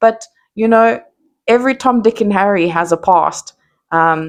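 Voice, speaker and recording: A woman in a South African accent, with lively intonation. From South Africa, Johannesburg. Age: 30s. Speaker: content creator. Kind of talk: casual monologue.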